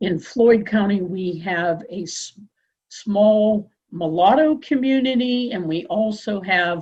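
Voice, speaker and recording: At a very slow pace, a somewhat breathy voice moves with lively intonation and big swings in loudness. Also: woman, medium pitch for a woman. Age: 60s. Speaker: workshop participant. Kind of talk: workshop discussion. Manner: halting.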